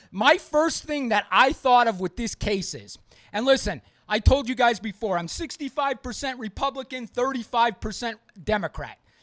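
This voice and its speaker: A shouting man, loud and at an extremely high pitch, with lively intonation at a moderate pace in a dry, close sound with no echo. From US East Coast. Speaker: podcast host. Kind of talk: opinionated podcast monologue. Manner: loud, yelling; emphatic, repetitive.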